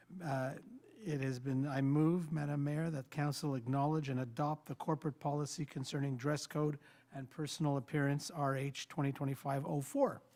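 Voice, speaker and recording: With a dark, mellow tone, a man speaks at a fairly high pitch in a monotone, flat delivery. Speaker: city councillor. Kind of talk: reading a motion. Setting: council chamber. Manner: fast.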